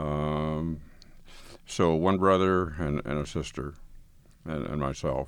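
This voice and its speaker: A man with an American accent speaks at a very slow pace in a very deep, low pitch. His intonation is fairly even, with long, frequent pauses. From northeastern Colorado, US. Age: 80s. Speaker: blind community member telling life story. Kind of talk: recorded interview, reminiscing. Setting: recording studio. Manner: conversational, relaxed, laughs.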